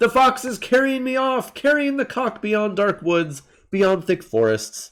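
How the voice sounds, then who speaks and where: A man uses a put-on character voice that is shrill and high-pitched. He speaks at a moderate pace on a very clean recording with a silent background. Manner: crying out, frightened.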